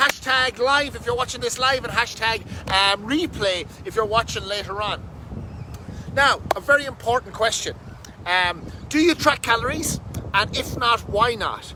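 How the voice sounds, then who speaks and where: A man speaks at an extremely high pitch, with ordinary pitch variation and an animated tone. His pace is moderate, and there is noticeable background noise. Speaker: fitness coach. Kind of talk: casual live stream talk. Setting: outdoors under a bridge.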